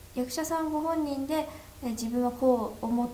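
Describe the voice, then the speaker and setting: Audible room echo and noticeable background noise around a woman's moderately paced speech. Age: 20s. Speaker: film director. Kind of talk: casual interview.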